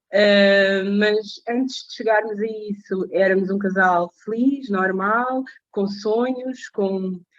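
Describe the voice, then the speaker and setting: Here is a woman with a medium pitch. Her intonation stays fairly even. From Portugal (born in Mozambique). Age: 30s. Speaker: support group facilitator. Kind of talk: testimony. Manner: hesitant, many fillers.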